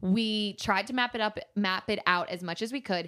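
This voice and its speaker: A woman's ordinary speaking voice at a moderate pace, with ordinary pitch variation, on a very clean recording with a silent background. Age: 20s. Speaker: influencer and model. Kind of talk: casual chat.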